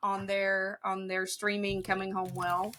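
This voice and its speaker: Speaking at a fairly slow pace, a woman talks with a slight Southern US accent. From Ohio, near Kentucky and West Virginia border. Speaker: respiratory therapist. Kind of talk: interview answer.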